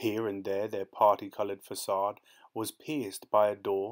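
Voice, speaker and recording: A man with a fairly low pitch uses a normal speaking voice at a moderate pace. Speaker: audiobook narrator. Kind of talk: audiobook narration. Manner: measured, even-paced literary reading.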